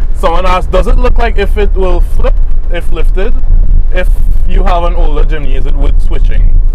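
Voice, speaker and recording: A man speaks with ordinary pitch variation in a dry recording with no echo and noticeable background noise. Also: moderate pace. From Trinidad and Tobago. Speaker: off-road vehicle reviewer. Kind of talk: casual car review. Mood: impressed, relaxed. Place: car. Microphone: lapel.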